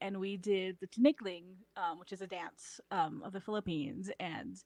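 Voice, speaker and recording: In an American accent, a woman talks at a moderate pace and medium pitch with ordinary pitch variation, in an unremarkable speaking voice. The sound is dry and close with no echo. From US, Filipino immigrant family. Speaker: podcast guest. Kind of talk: casual chat.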